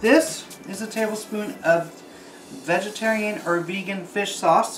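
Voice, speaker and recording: Noticeable background noise runs under a man speaking at a fairly slow pace in a high pitch. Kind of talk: tutorial. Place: kitchen.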